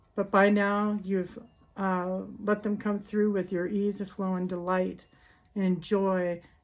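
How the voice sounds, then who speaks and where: A woman speaks at a medium pitch in a monotone, flat intonation. The recording is very clean, with a silent background. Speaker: spiritual healer and ritual guide. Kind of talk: guided ritual talk mixed with personal story. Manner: halting, many fillers.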